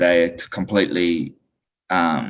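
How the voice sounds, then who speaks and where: A man's very deep, low-pitched voice. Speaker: lawyer, law firm owner. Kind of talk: interview answer.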